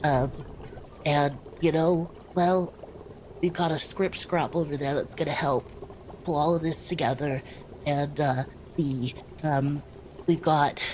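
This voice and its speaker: A woman puts on a raspy character voice with a very deep, low pitch, speaking at a fairly slow pace over clear background noise. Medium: actual play. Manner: rambling.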